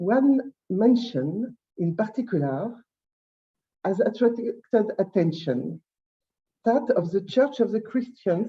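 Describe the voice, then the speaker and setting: At a very slow pace with long, frequent pauses, a woman speaks with a fairly high pitch, a dark, mellow tone and vocal fry. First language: French. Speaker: historian. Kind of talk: conference talk. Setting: conference. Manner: halting.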